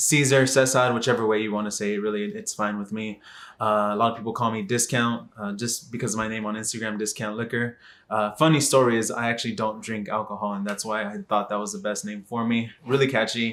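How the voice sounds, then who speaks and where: A man with a Texan accent races along at a very fast pace in a monotone, flat intonation at a medium pitch, in a very clean recording with a silent background. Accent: Texan American English. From Texas, Dallas. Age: 20s. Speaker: vlogger. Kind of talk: casual vlog monologue. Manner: hesitant, many fillers.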